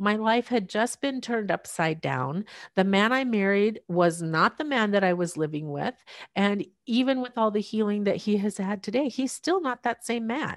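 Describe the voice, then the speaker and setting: A woman talks with lively intonation. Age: 50s. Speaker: miracle testimony guest, caregiver wife. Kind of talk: testimony.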